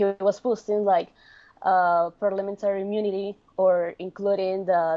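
A woman speaks with a Spanish accent in a dark, mellow tone and fairly even intonation. The sound is dry and close with no echo, over a quiet background. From Peru. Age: 20s. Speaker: law student. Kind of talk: interview. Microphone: connection delay.

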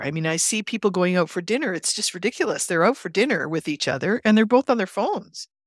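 The voice comes with a Canadian accent and ordinary pitch variation. The sound is dry and close, with no echo. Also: woman. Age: 60s. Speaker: financial coach. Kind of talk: interview. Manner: high-energy, straight-talking.

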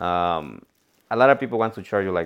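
With a Mexican accent, a man speaks at a very deep, low pitch. His pitch varies in an ordinary way, and the background is quiet. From Mexico, Cuernavaca, Morelos. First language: Spanish. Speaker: real estate investor. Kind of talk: casual interview.

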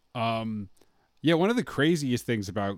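This is an unremarkable speaking voice from a man with an American accent, medium pitch and ordinary pitch variation. The recording is very clean, with a silent background. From US heartland. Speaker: podcast host and bass player. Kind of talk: casual chat. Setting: guest's home recording studio.

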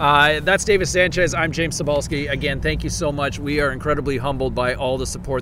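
A man talks at a fairly quick pace. Noticeable background noise runs behind his voice. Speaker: podcast host. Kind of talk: casual sports chat. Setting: outdoors at practice field.

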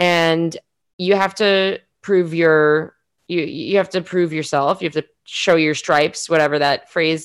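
Monotone, flat intonation carries speech that moves at a fairly slow pace. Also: woman, fairly low pitch for a woman. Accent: American. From New York City (Queens). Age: 20s. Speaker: journalist and podcaster. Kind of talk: interview.

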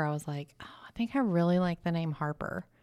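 Here is a woman with a plain, everyday voice and an American accent. Her pitch sits fairly low. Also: very clean recording, silent background. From West Virginia, Peterstown. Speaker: restaurant owner. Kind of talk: casual chat.

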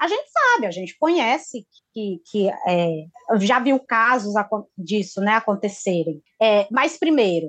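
A woman's high voice with very wide pitch swings, at a fairly slow pace. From Brazilian Northeast (Ceará, Pernambuco, Piauí). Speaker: journalist. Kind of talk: interview. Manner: halting.

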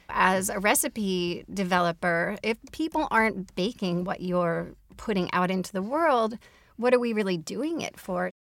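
A woman speaks at a moderate pace with lively intonation and medium pitch. It is a normal speaking voice. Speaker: baker and cookbook author. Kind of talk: casual interview chat.

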